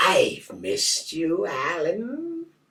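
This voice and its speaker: A man uses a raspy, put-on character voice. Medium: read story. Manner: strangely elongated syllables.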